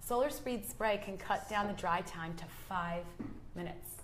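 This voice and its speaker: A woman with a US East Coast accent, moderate pace and ordinary pitch variation, with audible room echo. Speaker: nail product educator. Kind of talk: educational chat on a live show. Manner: conversational with frequent fillers.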